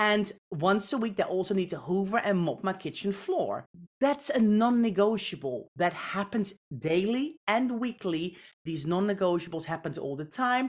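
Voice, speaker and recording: Using lively intonation, a woman with a Dutch accent talks at a moderate pace in a medium pitch. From Netherlands. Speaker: professional home organizer. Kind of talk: casual interview.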